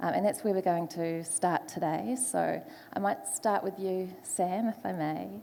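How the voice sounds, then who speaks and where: In a New Zealand accent, a woman speaks at a fairly slow pace. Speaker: panel moderator, foresight specialist. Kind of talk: panel moderation. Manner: hesitant, many fillers.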